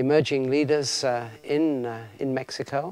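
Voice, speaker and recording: At a fairly slow pace, a man with a fairly high pitch speaks with fairly even intonation. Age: 60s. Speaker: seminary professor and pastor. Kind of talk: recorded video greeting. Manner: halting, many fillers.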